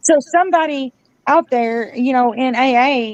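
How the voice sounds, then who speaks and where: Loud and high-pitched, a woman speaks at a moderate pace with ordinary pitch variation. The sound is dry and close with no echo. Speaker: community advocate. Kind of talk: casual chat. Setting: livestream.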